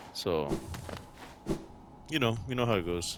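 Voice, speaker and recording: A man talks at a fairly low pitch. Music can be heard behind him. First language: not English. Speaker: gaming youtuber. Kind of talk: casual gameplay commentary. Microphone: headset built-in microphone.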